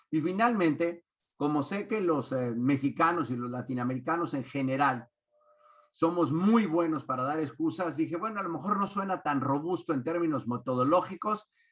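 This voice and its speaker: In a normal speaking voice, a man with a fairly high pitch talks at a moderate pace with lively intonation. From Mexico. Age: 60s. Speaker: business consultant and speaker. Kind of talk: webinar talk.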